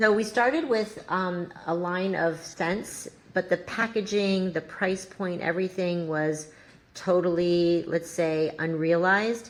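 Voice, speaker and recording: Fairly low in pitch, a woman with an ordinary speaking voice talks with fairly even intonation. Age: 60s. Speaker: entrepreneur, founder of a wellness brand. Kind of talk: podcast interview.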